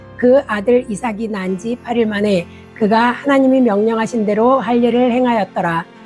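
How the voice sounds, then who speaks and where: With music in the background, a woman talks at a moderate pace in a fairly even intonation. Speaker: church deaconess. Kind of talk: Bible reading.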